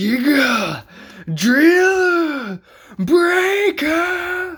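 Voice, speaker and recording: The voice is a put-on character voice pitched high. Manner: dramatic, shouted, emotional.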